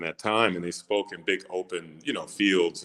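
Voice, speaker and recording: A man talks at a fairly slow pace. His tone is bright and sharp. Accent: American. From Michigan, US (Flint). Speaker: actor. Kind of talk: interview.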